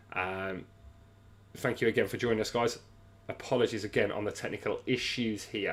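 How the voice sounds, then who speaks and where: A medium-pitched man with a British accent, moderate pace, fairly even intonation, and long, frequent pauses. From England. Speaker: sports livestream host. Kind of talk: livestream fight companion chat. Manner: hesitant, many fillers.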